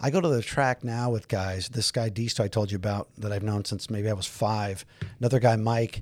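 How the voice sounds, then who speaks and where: In a very clean recording with a silent background, a man with an American accent talks at a fairly quick pace, his pitch fairly low and his intonation fairly even. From US, Southern California (San Fernando Valley). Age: 50s. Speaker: police detective. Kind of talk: casual interview conversation. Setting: studio with headphones.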